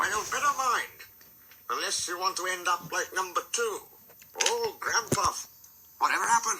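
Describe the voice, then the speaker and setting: A put-on character voice speaks in a fairly high pitch at a moderate pace. Long, frequent pauses break it up. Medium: read story. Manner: proud, fussy.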